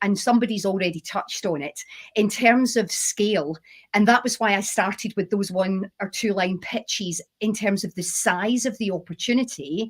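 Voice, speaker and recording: In a Scottish accent, a woman speaks at a moderate pace and medium pitch, somewhat breathy, with ordinary pitch variation. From Scotland, Glasgow. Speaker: chemist and company founder. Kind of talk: panel discussion.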